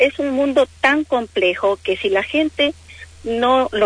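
A woman with an Ecuadorian accent speaks very slowly, her intonation lively. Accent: non-Argentine, Ecuadorian. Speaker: travel agent. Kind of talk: radio interview.

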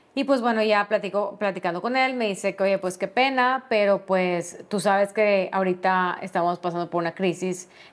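On a very clean recording with a silent background, a woman with a Mexican accent speaks at medium pitch and moderate pace with ordinary pitch variation. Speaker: podcast host, HR specialist. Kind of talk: personal storytelling monologue.

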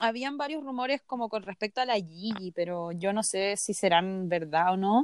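In a Chilean accent, a woman with a medium pitch speaks with lively intonation, recorded very cleanly against a silent background in a dry, close sound with no echo. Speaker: podcast co-host. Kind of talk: casual chat.

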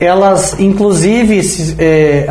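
Audible room echo surrounds the voice, along with noticeable background noise. The man's pitch varies in an ordinary way. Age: 40s. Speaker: business owner. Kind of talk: casual chat.

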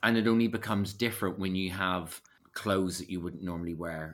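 With a Belfast accent, a man speaks at a fairly quick pace, his very deep, low voice showing ordinary pitch variation. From Northern Ireland, West Belfast. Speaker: actor, writer and acting coach. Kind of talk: casual chat.

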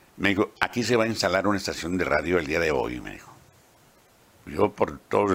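A man's very deep, low voice has a bright, sharp tone, vocal fry and lively intonation. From Mexico, Baja California (Ensenada). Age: 80s+. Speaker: veteran radio announcer and journalist. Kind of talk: autobiographical interview.

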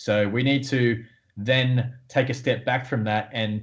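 A man speaks at a fairly slow pace. He has an Australian accent. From Australia, Newcastle. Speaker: podiatrist and sports coach. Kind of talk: interview.

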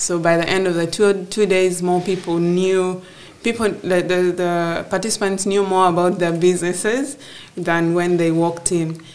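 A woman with a fairly low pitch speaks at a moderate pace, her intonation fairly even and her loudness very even. Noticeable background noise and audible room echo fill the recording. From northern Uganda (Gulu). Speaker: agribusiness entrepreneur. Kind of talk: interview before live audience. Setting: office with live audience.

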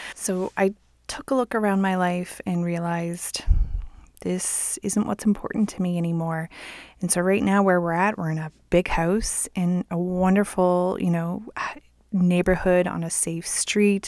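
In an ordinary speaking voice, a woman talks at a medium pitch and a fairly slow pace with fairly even intonation, on a very clean recording with a silent background. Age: 40s. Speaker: podcast host. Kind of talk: casual monologue. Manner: laughs often.

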